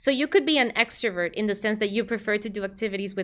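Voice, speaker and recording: Speaking at a fairly quick pace, a woman with a Spanish accent and medium pitch comes through on a very clean recording with a silent background. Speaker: vtuber streamer and psychologist. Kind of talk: casual livestream chat and advice.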